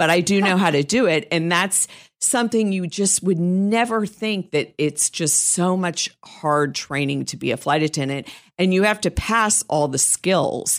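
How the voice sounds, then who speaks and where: The voice has ordinary pitch variation. The recording is very clean, with a silent background. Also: woman, fairly low pitch for a woman, fairly slow pace. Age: 60s. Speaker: professional organizer, podcast co-host. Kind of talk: casual chat.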